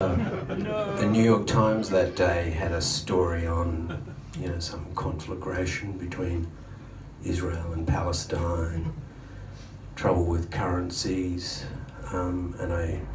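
A man talks in a very deep, low voice with flat, monotone intonation at a very slow pace. Noticeable background noise runs under the recording. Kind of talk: stage banter story. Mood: dry, humorous storytelling. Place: bar. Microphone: camera far.

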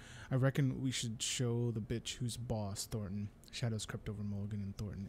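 Throughout, the reading voice stays unforced.

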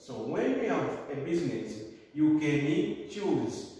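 Over light background noise, a man speaks very slowly amid strong room echo. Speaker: teacher. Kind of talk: lecture. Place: classroom. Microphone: camera far.

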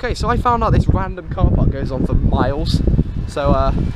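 A man talks at a fairly quick pace, his dry sound free of echo over loud background noise. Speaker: car spotter vlogger. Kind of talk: casual vlog chat. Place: street. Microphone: phone near.

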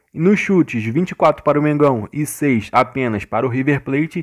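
With a Brazilian accent, a man speaks at a moderate pace in a fairly high voice with ordinary pitch variation. The background is quiet, and the sound is dry and close with no echo. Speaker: gaming youtuber. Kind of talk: gameplay commentary. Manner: animated.

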